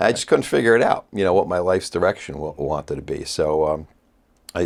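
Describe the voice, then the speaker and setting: A very deep, low-pitched man with a New York accent and ordinary pitch variation, on a very clean recording with a silent background. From US Northeast, Port Chester, Westchester, New York. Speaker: facial plastic surgeon. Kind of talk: casual chat.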